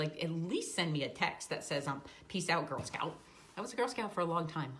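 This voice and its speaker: A fairly low female voice at a moderate pace, with ordinary pitch variation and audible room echo. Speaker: life coach. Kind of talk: casual vlog talk. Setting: standing on a treadmill.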